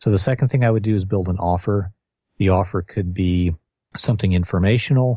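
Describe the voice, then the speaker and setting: A man speaks in a fairly low pitch, somewhat breathy, with very even loudness. The sound is dry and close with no echo. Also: ordinary pitch variation, fairly quick pace. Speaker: author and marketing consultant. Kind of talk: casual podcast interview.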